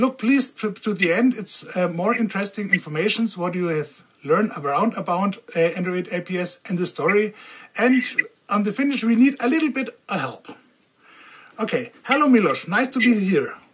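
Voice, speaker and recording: Somewhat breathy speech with a German accent moves at a moderate pace with lively intonation. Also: woman, medium pitch for a woman. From Germany. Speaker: video blogger on diabetes tech. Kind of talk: interview. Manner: halting.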